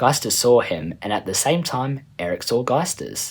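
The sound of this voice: Lively intonation marks the delivery. It comes in an unforced reading voice.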